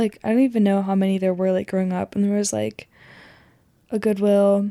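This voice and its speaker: A woman speaks at a medium pitch with a dark, mellow tone, a monotone, flat intonation and an American accent. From rural Oregon, US Pacific Northwest. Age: 20s. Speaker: podcaster, university student. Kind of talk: casual monologue. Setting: at home, bedroom.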